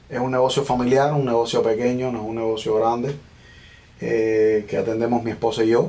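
Audible room echo surrounds a man speaking at a fairly quick pace. His medium-pitched delivery is monotone and flat. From Cuba, Villa Clara province. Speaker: small business owner. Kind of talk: interview conversation.

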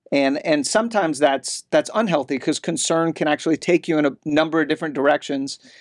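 This man has an ordinary speaking voice, fairly high in pitch with ordinary pitch variation, moving at a fairly quick pace. The sound is dry and close with no echo, in a very clean recording over a silent background. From California (grew up partly there, Army family). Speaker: criminal defense lawyer and state policy director. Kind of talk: interview. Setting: studio in Austin.

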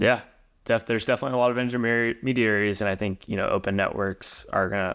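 Very fast speech from a man, fairly low in pitch, with fairly even intonation. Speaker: podcast host. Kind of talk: casual interview conversation.

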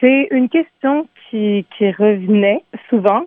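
A woman's normal speaking voice, fairly high in pitch, with ordinary pitch variation. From Montreal, Quebec. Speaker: singer-songwriter. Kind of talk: radio interview.

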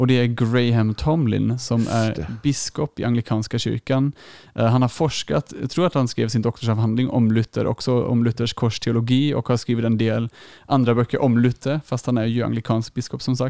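At a moderate pace and medium pitch, a man with a dark, mellow tone speaks with fairly even intonation and very even loudness, on a very clean recording with a silent background and a dry, close sound with no echo. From Germany. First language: German (speaking Swedish). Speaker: youth leader and theology student. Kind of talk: podcast interview.

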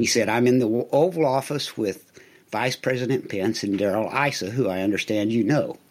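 With a normal speaking voice, a man talks at a fairly quick pace and medium pitch, using ordinary pitch variation. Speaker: painter. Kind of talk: casual interview chat.

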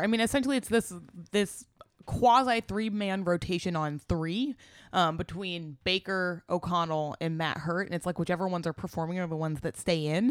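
A woman with an unremarkable speaking voice, medium in pitch, talks at a moderate pace with lively intonation. The recording is very clean and dry, close with no echo, over a silent background. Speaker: podcast co-host.

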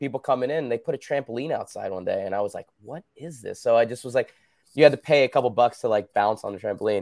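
Using an ordinary speaking voice, a man talks at a fairly quick pace in an American accent. The sound is dry and close with no echo. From New Jersey, US. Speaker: former Olympic gymnast and fitness business owner. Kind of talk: casual interview.

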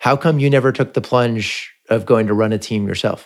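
An unremarkable speaking voice with an American accent talks at a moderate pace in a very clean recording with a silent background. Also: man. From California, Palo Alto. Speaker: podcast host. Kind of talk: casual interview.

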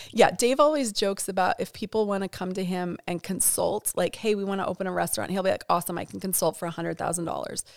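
With an American accent, a woman talks at a very fast pace with hardly any pauses and ordinary pitch variation, the sound dry and close with no echo on a very clean recording with a silent background. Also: medium pitch for a woman. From Montana (Bozeman). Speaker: church ministry director. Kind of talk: interview.

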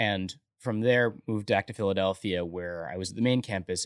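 In a dry, close sound with no echo and a quiet background, a man with an ordinary speaking voice talks at a fairly quick pace with fairly low pitch and fairly even intonation. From military family, partly raised in San Antonio, Texas. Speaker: startup founder and CEO. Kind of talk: casual interview.

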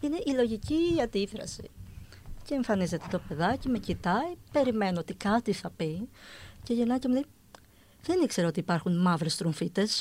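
A woman with a fairly high, somewhat breathy voice speaks at a moderate pace, her pitch swinging very widely. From Greece, Athens. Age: 40s. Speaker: woman with achondroplasia. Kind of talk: interview.

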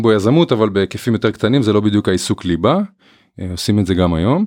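Over a quiet background, a man talks in an ordinary speaking voice. His pitch is fairly low and his intonation lively. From northern Israel. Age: 30s. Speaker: family business co-CEO. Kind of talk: interview.

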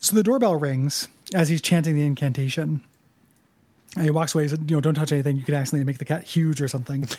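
A very fast, somewhat breathy delivery in a dark, mellow tone with fairly even intonation. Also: man, fairly high pitch for a man. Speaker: podcast host. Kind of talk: casual chat.

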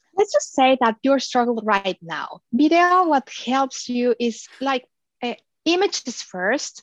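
A woman speaks fairly slowly with a Spanish accent. Her pitch swings very widely in a dry, close sound with no echo. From Mexico. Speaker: digital marketing agency founder. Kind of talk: interview.

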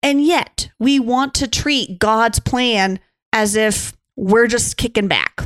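Speaking very slowly with an American accent, a woman uses ordinary pitch variation. Her loudness stays very even throughout. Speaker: pastor and podcast co-host. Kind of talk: casual roundtable chat about faith.

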